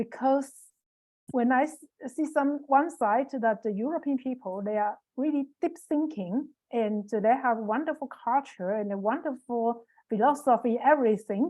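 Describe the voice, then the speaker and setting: A woman's dark, mellow tone at a high pitch against a quiet background. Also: ordinary pitch variation, moderate pace. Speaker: Taiwanese community member in Europe. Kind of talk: online panel discussion. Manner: halting.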